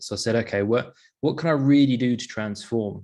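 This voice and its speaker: Someone with an English accent speaks against a quiet background. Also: man. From London, England. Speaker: sleep performance coach. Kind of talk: interview, personal story. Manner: casual, with many fillers.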